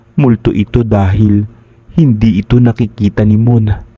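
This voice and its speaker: A man speaks in a fairly low pitch with a dark, mellow tone, somewhat breathy. His intonation is fairly even, and the sound is dry and close with no echo. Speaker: horror story narrator. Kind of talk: scripted narration.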